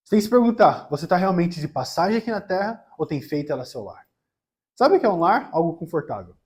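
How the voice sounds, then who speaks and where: A man with a Brazilian accent talks at a very fast pace in a high pitch. His intonation is lively, and his loudness swings widely. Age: 20s. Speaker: preacher. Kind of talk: sermon.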